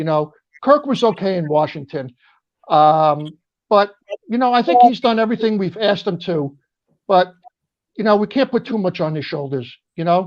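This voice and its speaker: With a New York accent, a man speaks at a moderate pace in a high voice with lively intonation. He leaves long, frequent pauses. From New York, Brooklyn and Long Island. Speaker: military veteran and football fan guest. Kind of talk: casual chat.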